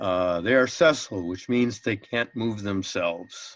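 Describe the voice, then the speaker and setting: A man with an ordinary speaking voice, medium pitch, ordinary pitch variation and a fairly slow pace, against a quiet background. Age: 60s. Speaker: biology teacher. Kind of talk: lecture.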